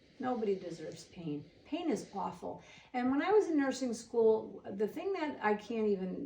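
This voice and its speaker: A woman with an American accent, fairly high-pitched, animated, with very wide pitch swings at a moderate pace. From Waterbury, Connecticut. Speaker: nurse and hairdresser. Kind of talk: interview chat.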